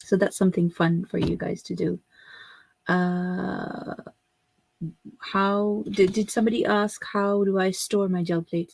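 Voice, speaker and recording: Speaking at a fairly slow pace, a woman with a Pakistani accent uses a medium pitch and fairly even intonation, in a dry, close sound with no echo. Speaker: craft tutor. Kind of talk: live stream tutorial. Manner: casual with many fillers.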